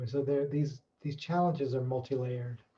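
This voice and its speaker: With a dark, mellow tone and fairly even intonation, a man speaks in a somewhat breathy voice at a fairly high pitch. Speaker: researcher. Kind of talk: webinar talk. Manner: halting.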